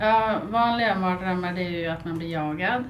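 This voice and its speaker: A woman speaks at a fairly slow pace amid audible room echo. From northern Sweden, Byske (Västerbotten). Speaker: podcast co-host. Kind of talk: casual chat.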